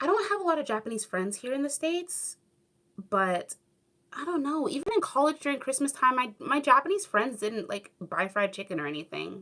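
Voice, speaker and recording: Speaking in a Southern California accent, a woman uses a raised, projected, high-pitched voice with a bright, sharp tone, very wide pitch swings and a fairly quick pace. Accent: Valley Girl. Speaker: YouTuber, former English teacher in Japan. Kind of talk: livestream chat reading comments. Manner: casual, many fillers.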